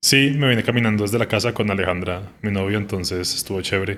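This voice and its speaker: A man talks at a very fast pace in a fairly low voice. The recording is very clean, with a silent background. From Colombia, Bogotá. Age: 30s. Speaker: music journalist. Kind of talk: casual interview conversation. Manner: hesitant, many fillers.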